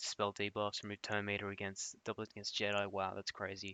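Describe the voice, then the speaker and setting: A man's fairly low-pitched voice. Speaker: gaming content creator. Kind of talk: commentary review of a player's game roster. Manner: fast; casual, upbeat.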